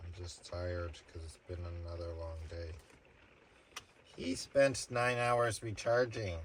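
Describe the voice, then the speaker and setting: A man with a very deep, low voice speaks at a fairly slow pace, somewhat breathy, with ordinary pitch variation and long, frequent pauses. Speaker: tarot reader. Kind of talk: casual tarot reading stream.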